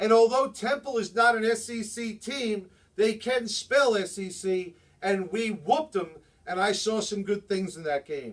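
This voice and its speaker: An animated tone in a New Jersey accent. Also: man. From New Jersey, Jersey City. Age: 50s. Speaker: sports vlogger. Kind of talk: sports commentary monologue.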